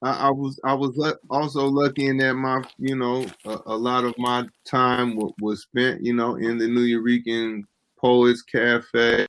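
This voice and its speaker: A man with an American accent, a medium pitch and monotone, flat intonation, at a fairly slow pace with hardly any pauses. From San Francisco, California. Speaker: poet. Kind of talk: interview. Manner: halting, many repetitions.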